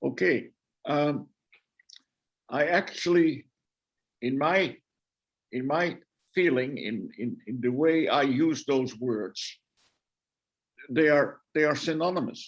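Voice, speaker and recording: Speaking in a Dutch accent, a man has a fairly high pitch and ordinary pitch variation. His pace is very slow, with long, frequent pauses. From Netherlands. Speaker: guest lecturer, theologian. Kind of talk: answer in an online discussion. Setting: video call. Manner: halting, many repetitions.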